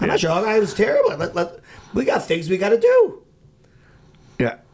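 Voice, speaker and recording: A man with an American accent at a moderate pace, against noticeable background noise. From US Midwest, Chicago. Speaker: rabbi, outreach worker. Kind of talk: casual interview.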